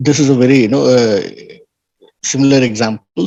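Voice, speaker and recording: At a fairly quick pace, a man talks at a medium pitch with ordinary pitch variation in a normal speaking voice. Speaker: trading educator. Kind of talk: online lecture.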